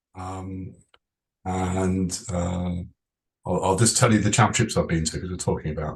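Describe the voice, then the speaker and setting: A man with a very deep, low pitch speaks in a somewhat breathy voice. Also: quiet background. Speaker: sports performance director. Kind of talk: webinar presentation.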